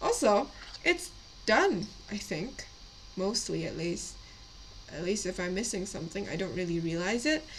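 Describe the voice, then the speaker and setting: Against noticeable background noise, a woman talks at a moderate pace with long, frequent pauses. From Indonesia. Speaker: miniature painting streamer. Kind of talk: casual live-stream chat. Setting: live stream. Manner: hesitant, many fillers.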